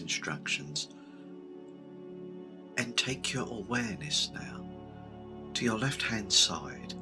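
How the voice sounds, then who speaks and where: Over music in the background, a soft-spoken man with a very deep, low voice speaks at a very slow pace, his pitch swinging very widely. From United Kingdom. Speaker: Reiki master, guided meditation leader. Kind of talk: guided meditation, ASMR Reiki cord cutting. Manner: soft-spoken, gentle, slow.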